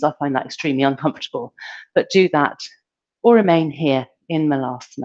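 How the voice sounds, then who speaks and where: The recording is dry and close with no echo as a woman speaks at a moderate pace. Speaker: yoga teacher. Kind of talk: guided yoga class.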